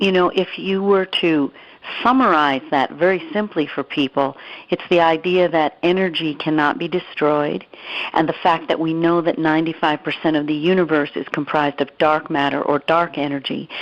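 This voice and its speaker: This woman has an unremarkable speaking voice, fairly low in pitch, with ordinary pitch variation and a moderate pace. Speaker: radio show host. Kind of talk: interview conversation.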